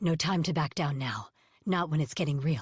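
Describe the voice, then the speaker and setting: Putting on a character voice, a woman growls at a very deep, low pitch in a calm tone. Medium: read story. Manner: calm, commanding.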